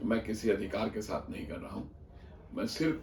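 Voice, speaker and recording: Audible room echo surrounds a man talking at a moderate speed. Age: 70s. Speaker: senior insurance agent and mentor. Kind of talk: motivational address to colleagues. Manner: earnest, pleading.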